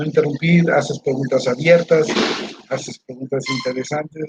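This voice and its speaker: An unremarkable speaking voice from a man, fairly high in pitch, at a moderate pace with fairly even intonation and a dry, close sound with no echo. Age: 60s. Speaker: university staff member. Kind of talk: interview.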